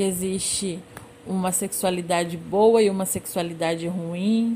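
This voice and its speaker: Spoken at a very slow pace with fairly even intonation, the voice sits over noticeable background noise. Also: woman. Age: 20s. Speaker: former social work student, master's graduate. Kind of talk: interview.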